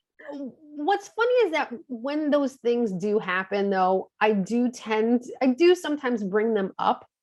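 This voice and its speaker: Speaking with a New York accent at a high pitch, a woman keeps a fairly slow pace with hardly any pauses and lively intonation. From Queens, New York. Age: 40s. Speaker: fertility coach and Reiki master. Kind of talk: podcast interview answer.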